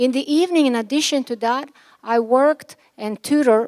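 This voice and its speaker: A woman with a Yugoslav accent at a moderate pace, with ordinary pitch variation, in a very clean recording with a silent background. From former Yugoslavia. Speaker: commencement speaker, physician. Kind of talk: commencement speech.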